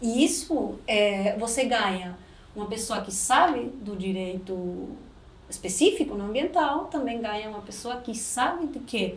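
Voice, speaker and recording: Speaking in a Spanish accent, a woman swings her pitch very widely at a fairly slow pace. Noticeable background noise and audible room echo surround her. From Uruguay. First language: Spanish (speaking Portuguese). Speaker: lawyer and business mentor. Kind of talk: podcast interview.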